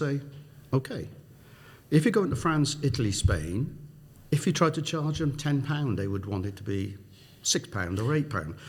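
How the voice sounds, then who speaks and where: A man with a South Wales accent, a fairly high pitch, vocal fry, very wide pitch swings and long, frequent pauses. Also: moderate pace. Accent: Welsh (South Wales). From South Wales, Newport. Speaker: business executive. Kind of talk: interview.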